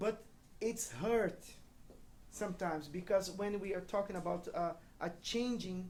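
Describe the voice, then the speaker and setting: With a Brazilian accent, a woman talks at a fairly slow pace in a medium pitch with ordinary pitch variation, leaving long, frequent pauses. Room echo is audible. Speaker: pastor. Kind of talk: church talk with interpreter. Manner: halting.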